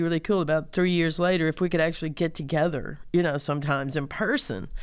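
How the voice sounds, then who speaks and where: A woman speaks with a Southern US accent. The recording is very clean, with a silent background. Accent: southern drawl. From Mississippi, US South. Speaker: singer-songwriter and community organizer. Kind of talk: interview conversation. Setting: studio.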